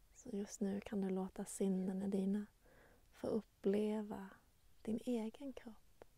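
A woman speaks very slowly in a dark, mellow, somewhat breathy voice. Her intonation is monotone and flat, and her tone is calm and soothing. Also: medium pitch for a woman. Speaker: meditation guide and nature channel host. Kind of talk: guided meditation. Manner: slow, calm, soothing, with long pauses; gentle, warm, softly inviting.

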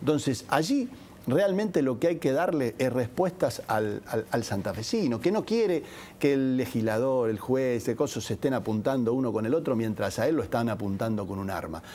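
A man with a dark, mellow tone speaks at a moderate pace, his pitch swinging very widely. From Argentina, Santa Fe province (Rafaela); Santa Fe province, Argentina. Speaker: politician, gubernatorial candidate; politician, candidate. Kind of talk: TV interview. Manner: frequent hesitations (eh) and repetitions. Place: studio.

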